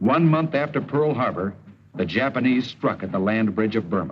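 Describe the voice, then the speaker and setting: A man with an American accent at a moderate pace, lively in intonation. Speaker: actor. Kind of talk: wartime documentary narration. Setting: old mono film soundtrack.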